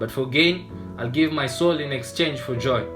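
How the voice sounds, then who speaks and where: Music plays in the background while a man speaks at a medium pitch. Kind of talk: spoken word poetry performance.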